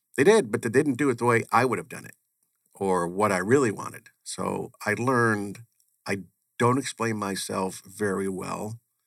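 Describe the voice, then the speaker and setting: A man talks in a normal speaking voice with an American accent and a medium pitch. His pace is moderate, with ordinary pitch variation and big swings in loudness. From US Northeast (Connecticut). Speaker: chief financial officer. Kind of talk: interview.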